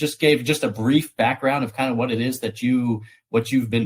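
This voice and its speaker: A man with an American accent speaks at a moderate pace, his medium-pitched voice somewhat breathy and his pitch varying in an ordinary way. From United States. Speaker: podcast host. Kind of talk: interview. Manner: hesitant, many fillers.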